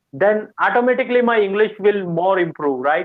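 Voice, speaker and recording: A man with an Indian accent speaks in a high voice with ordinary pitch variation. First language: Hindi. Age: 20s. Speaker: student. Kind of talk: casual chat. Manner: halting.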